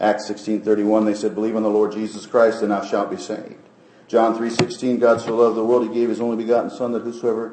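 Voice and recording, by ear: The passage is read aloud in a natural voice.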